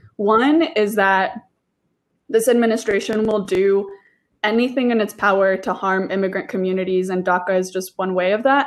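This is a woman with an unremarkable speaking voice at a medium pitch. She keeps a moderate pace and ordinary pitch variation. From Oklahoma, raised there after immigrating from Mexico. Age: 20s. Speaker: immigration policy worker. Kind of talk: casual chat.

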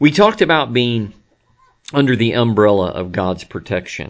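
A man's normal speaking voice at a medium pitch, with lively intonation. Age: 50s. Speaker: pastor. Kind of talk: sermon recap recorded at desk. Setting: at a desk, not in church. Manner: many filler words (um, uh).

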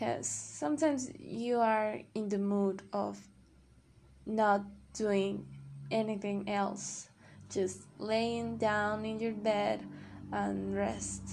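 A woman speaks very slowly with a non-native accent. Her speech has long, frequent pauses. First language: not English. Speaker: podcaster practicing English. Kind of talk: casual monologue. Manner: halting.

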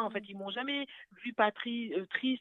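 A woman with an ordinary speaking voice talks at a fairly high pitch and a moderate pace, with ordinary pitch variation. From France (Paris). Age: 30s. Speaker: widow sharing her story, nursing student. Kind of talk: testimony. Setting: phone call.

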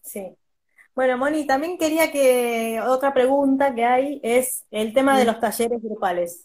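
A woman with a Rioplatense accent speaks at a fairly slow pace in a high voice, with ordinary pitch variation. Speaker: podcast host. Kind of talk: casual chat.

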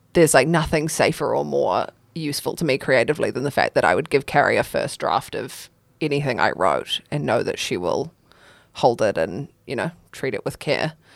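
In a very clean recording with a silent background, a woman talks at a fairly quick pace in a New Zealand accent. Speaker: spoken word poet. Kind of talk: casual chat.

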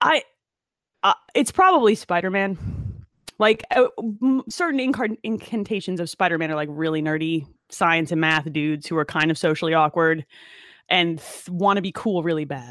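A woman with a plain, everyday voice and an American accent speaks at a fairly low pitch, a moderate pace and with lively intonation. The recording is very clean, with a silent background and a dry, close sound with no echo. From New Jersey, Monmouth County. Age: 30s. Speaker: electrical engineer. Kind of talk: casual chat.

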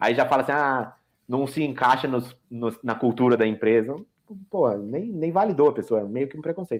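This man has an unremarkable speaking voice at a medium pitch, delivered at a moderate pace. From Brazil. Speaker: software architect. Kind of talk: casual chat. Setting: video call. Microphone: too quiet on one platform.

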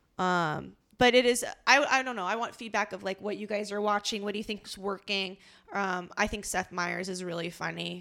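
In a very clean recording with a silent background, a woman with a bright, sharp tone and vocal fry speaks at a medium pitch and a moderate pace. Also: ordinary pitch variation. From Los Angeles. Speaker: improviser and podcast co-host. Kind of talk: casual chat. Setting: at home.

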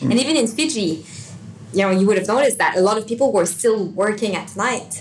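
Fairly quick speech from a woman with fairly high pitch, lively intonation and audible room echo. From Canada, Montreal. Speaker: wellbeing and meditation coach, business co-founder. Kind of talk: interview.

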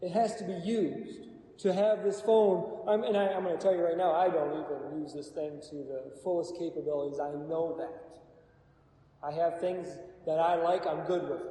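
A man speaks at a moderate pace in a high voice with ordinary pitch variation, with audible room echo and noticeable background noise. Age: 40s. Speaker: Bible study teacher. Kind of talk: Bible study teaching.

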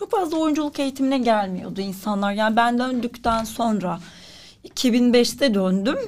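This woman's voice sits fairly high and sounds somewhat breathy. She talks at a fairly slow pace with ordinary pitch variation. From Turkey, Ankara. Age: 40s. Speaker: writer and actress. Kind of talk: interview.

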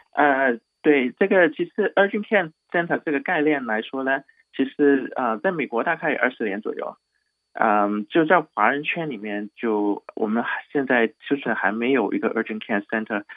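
A man at a fairly high pitch, with a Cantonese accent, lively intonation and a moderate pace. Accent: Cantonese-tinged Mandarin. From Hong Kong. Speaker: doctor at an urgent care clinic. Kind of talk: radio interview.

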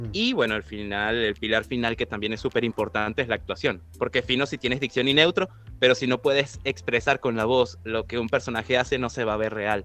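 A man's medium-pitched voice, a normal speaking voice, at a fairly quick pace with ordinary pitch variation and hardly any pauses. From Venezuela. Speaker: voice actor. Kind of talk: interview.

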